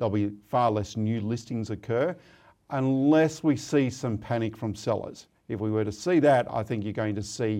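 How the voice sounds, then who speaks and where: Over a quiet background, a man with an Australian accent speaks in a dark, mellow tone at a fairly low pitch and moderate pace, with ordinary pitch variation. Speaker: property market analyst. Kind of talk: interview.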